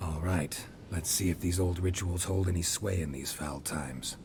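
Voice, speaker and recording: Over clear background noise, a man talks at a moderate pace in a put-on character voice pitched very deep and low. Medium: video game. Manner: gruff, deadpan, laconic.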